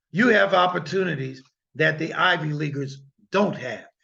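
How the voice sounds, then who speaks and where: A man speaks in an animated tone that sounds bright and sharp. Room echo can be heard. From US Midwest (Illinois). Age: 60s. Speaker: guest lecturer, lawyer. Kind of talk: lecture. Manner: animated, emphatic.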